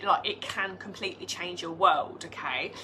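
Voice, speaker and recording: A woman speaks with a British accent over noticeable background noise. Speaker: direct sales team leader. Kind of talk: live team training. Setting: live video stream.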